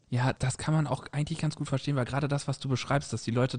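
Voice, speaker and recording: Somewhat breathy, the voice keeps its intonation fairly even. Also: man. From German-Dutch border region. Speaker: podcast host, academic. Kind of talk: casual chat.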